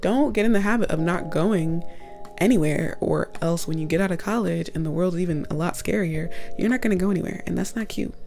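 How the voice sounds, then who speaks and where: Over music in the background, a woman talks at a fairly quick pace in a fairly low pitch, with ordinary pitch variation. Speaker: college student. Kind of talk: casual talk to camera. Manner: chatty, upbeat.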